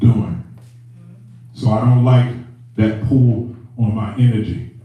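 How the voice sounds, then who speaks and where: Monotone and flat in intonation, a man speaks at a medium pitch with audible room echo. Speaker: spiritual leader. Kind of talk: sermon.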